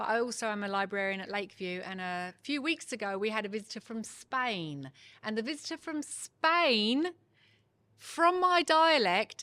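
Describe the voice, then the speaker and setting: Her fairly high voice has a bright, sharp tone and swings very widely in pitch as this woman talks at a moderate pace over a very clean recording with a silent background. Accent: Kent. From southeast England, Ashford, Kent. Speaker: venue owner and librarian. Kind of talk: casual interview.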